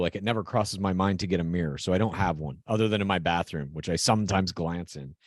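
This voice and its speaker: Over a quiet background, a man with a plain, everyday voice speaks at a fairly quick pace with ordinary pitch variation. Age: 40s. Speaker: podcast co-host. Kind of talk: casual chat.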